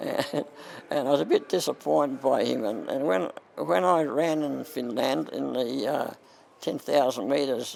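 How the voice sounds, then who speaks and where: A man talks with an Australian accent. Background noise is noticeable. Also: moderate pace. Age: 80s+. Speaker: masters athlete. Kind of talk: interview answer.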